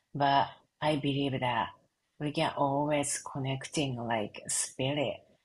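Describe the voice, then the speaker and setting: With a Japanese accent, the speaker goes at a very slow pace. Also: woman. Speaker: reiki and sound healing practitioner. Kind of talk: interview conversation. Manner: halting.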